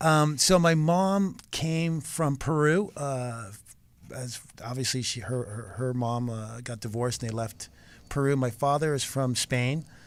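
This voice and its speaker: A man with a Californian accent speaks fairly slowly at a medium pitch, with ordinary pitch variation. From Los Angeles, California. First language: Spanish. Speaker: surf therapist and nonprofit founder. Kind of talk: interview. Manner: halting, many fillers.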